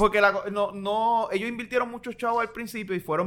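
A high-pitched man speaks with fairly even intonation. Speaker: podcast co-host. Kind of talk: casual chat.

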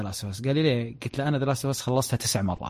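On a very clean recording with a silent background, a man speaks in a somewhat breathy, medium-pitched voice with ordinary pitch variation. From Saudi Arabia, Dammam. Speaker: tech content creator. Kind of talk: casual chat.

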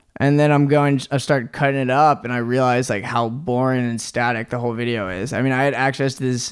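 A man with an American accent uses an ordinary speaking voice at medium pitch and a fairly quick pace. His intonation is fairly even, and the recording is very clean with a silent background. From Norfolk, Virginia, US. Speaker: music video director. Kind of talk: casual interview.

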